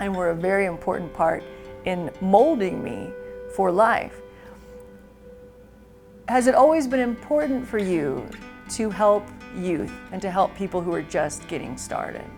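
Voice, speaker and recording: Over music in the background, a woman talks at a fairly slow pace and medium pitch, her voice making very wide pitch swings and her pauses long and frequent. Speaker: TV host. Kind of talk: TV interview questions.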